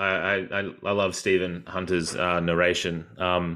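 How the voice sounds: A man speaks at a fairly slow pace with a low pitch and a bright, sharp tone.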